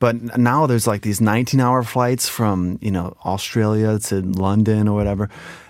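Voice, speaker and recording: With an unremarkable speaking voice, a man talks at a moderate pace and a fairly low pitch, with fairly even intonation and hardly any pauses. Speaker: Korean learner quiz contestant. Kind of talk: casual chat.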